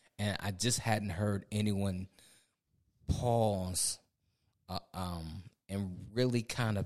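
A man with a fairly low pitch and ordinary pitch variation, on a very clean recording with a silent background. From Ohio. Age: 40s. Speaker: pastor and podcast co-host. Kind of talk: casual chat.

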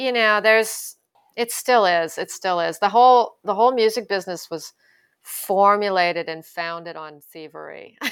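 An unremarkable speaking voice with a Canadian accent talks at a moderate pace with ordinary pitch variation. The recording is very clean, with a silent background. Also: woman, medium pitch for a woman. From Canada, Ottawa. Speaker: blues guitarist and singer. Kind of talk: interview conversation.

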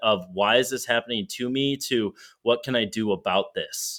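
Recorded very cleanly against a silent background, a man talks in a plain, everyday voice at a medium pitch with ordinary pitch variation. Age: 20s. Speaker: sales executive. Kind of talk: casual interview chat.

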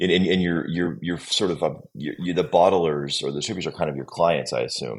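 A man talks at a very deep, low pitch with vocal fry. He keeps a fairly quick pace and ordinary pitch variation. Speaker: podcast host. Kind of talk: casual interview chat.

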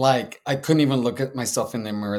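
On a very clean recording with a silent background, a man has an unremarkable speaking voice at medium pitch with ordinary pitch variation. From San Antonio, Texas. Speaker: social worker and therapist, veteran. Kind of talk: interview.

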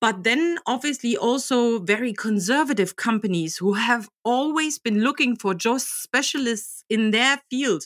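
With a German accent and lively intonation, the speaker goes at a fairly slow pace with hardly any pauses and very even loudness, in a dry, close sound with no echo and a very clean recording with a silent background. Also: woman, fairly high pitch for a woman. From Germany, Magdeburg. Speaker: job coach. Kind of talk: interview. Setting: podcast. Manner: animated.

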